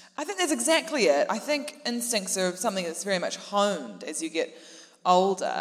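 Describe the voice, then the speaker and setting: With a New Zealand accent, a woman talks at a moderate pace and medium pitch, her voice making very wide pitch swings over noticeable background noise. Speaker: comedian. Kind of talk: live comedy podcast panel chat. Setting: stage with audience.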